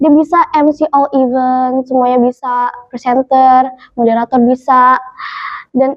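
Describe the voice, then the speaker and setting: A woman with a high-pitched voice speaks with fairly even intonation. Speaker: podcast host. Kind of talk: podcast interview host.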